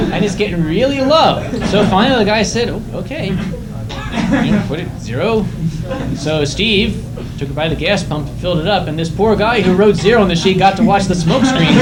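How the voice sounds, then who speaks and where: A man speaks at a moderate pace with a high pitch and lively intonation. Noticeable background noise runs underneath. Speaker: convention storyteller. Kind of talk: live storytelling performance to an audience at a convention. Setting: live convention room with audience. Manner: casual, conversational, humorous.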